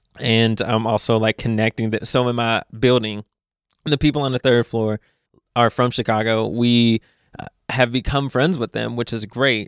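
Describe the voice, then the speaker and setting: A man with a Southern US accent speaks at a moderate pace in a monotone, flat intonation. The sound is dry and close with no echo, and the recording is very clean against a silent background. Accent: somewhat Southern-sounding. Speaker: podcast guest. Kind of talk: casual chat.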